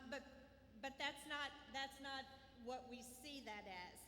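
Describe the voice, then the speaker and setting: Raising and projecting her high voice, a woman with an American accent speaks at a very slow pace amid noticeable background noise. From Southwest Missouri. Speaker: school administrator. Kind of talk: graduation ceremony speech.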